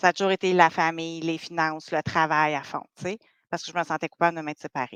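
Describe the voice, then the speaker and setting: Over a quiet background, a woman talks very fast in a fairly low pitch with monotone, flat intonation and big swings in loudness, the sound dry and close with no echo. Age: 40s. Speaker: dating coach. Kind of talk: podcast interview.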